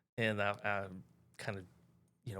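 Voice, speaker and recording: With a Western Canadian accent, a man speaks at a fairly low pitch in a bright, sharp tone and monotone, flat intonation, on a very clean recording with a silent background. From Canada, North Vancouver. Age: 50s. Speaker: real estate agent. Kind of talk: casual podcast interview.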